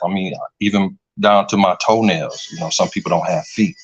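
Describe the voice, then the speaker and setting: A man with a plain, everyday voice, fairly low in pitch, speaks at a fairly quick pace over a quiet background. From Flint, Michigan. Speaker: YouTube filmmaker. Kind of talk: interview.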